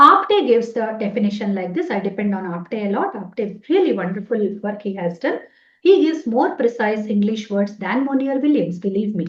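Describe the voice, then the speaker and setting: A woman talks at a moderate pace in a Telugu accent, somewhat breathy. Her pitch is fairly high and her intonation lively. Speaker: Sanskrit professor. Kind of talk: lecture. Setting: webinar.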